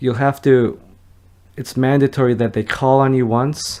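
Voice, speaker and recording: A man speaks with a dark, mellow tone at a medium pitch. His intonation stays fairly even. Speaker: YouTuber, law school dropout. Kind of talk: advice vlog. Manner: halting, many restarts.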